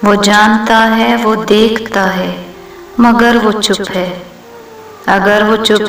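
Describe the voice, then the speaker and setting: Against noticeable background noise, a woman speaks at medium pitch with monotone, flat intonation. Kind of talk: poetry reading.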